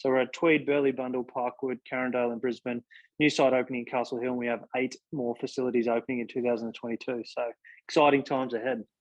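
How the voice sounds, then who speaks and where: In an Australian accent, a man rattles off words at a very fast pace with medium pitch and monotone, flat intonation. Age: 30s. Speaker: exercise physiologist and gym chain CEO. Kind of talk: interview. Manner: halting, many fillers.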